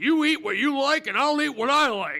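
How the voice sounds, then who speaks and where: A man uses a put-on character voice. It sits at an extremely high pitch. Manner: gruff, stubborn.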